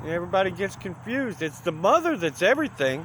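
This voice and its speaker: Loud and high-pitched, a man's voice makes very wide pitch swings over noticeable background noise. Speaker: hitchhiking vlogger. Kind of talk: casual vlog monologue. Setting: outdoors by the highway.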